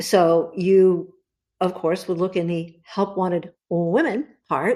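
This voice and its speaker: A woman with a Californian accent, talking at a fairly slow pace against a quiet background. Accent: General American (Californian). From US West Coast, Los Angeles. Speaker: cookbook author. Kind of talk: podcast interview.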